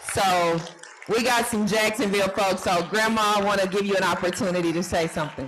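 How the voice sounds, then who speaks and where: Speaking at a moderate pace, a woman has a medium pitch and ordinary pitch variation. There is noticeable background noise. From Arkansas. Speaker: audience member. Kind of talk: audience question.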